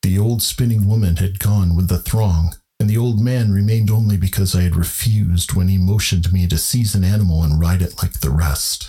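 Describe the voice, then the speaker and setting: A man with a normal speaking voice talks at a fairly low pitch and a fairly quick pace, with hardly any pauses. His pitch varies in an ordinary way and his loudness stays very even. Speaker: podcast host and narrator. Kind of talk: literary horror audiobook narration.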